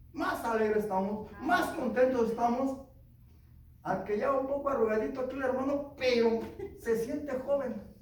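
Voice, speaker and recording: Animated in tone, a man talks at a moderate pace in an extremely high pitch with ordinary pitch variation. Noticeable background noise and audible room echo fill the recording. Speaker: preacher. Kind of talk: sermon.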